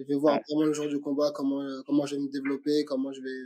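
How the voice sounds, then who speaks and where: A fairly high-pitched man at a moderate pace. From France, Aubervilliers (Paris suburbs). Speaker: MMA fighter. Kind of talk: interview. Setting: call. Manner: halting, many repetitions and fillers.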